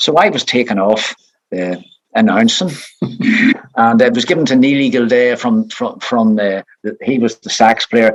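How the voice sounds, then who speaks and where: A man with a Northern Irish accent, medium pitch, ordinary pitch variation, a moderate pace and long, frequent pauses. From Northern Ireland. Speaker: retired showband bass player. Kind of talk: interview.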